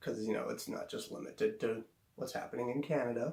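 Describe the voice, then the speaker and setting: Here a man talks fairly quickly at medium pitch. His tone is dark, mellow and somewhat breathy. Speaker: author discussing his own novel. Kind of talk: casual book talk vlog.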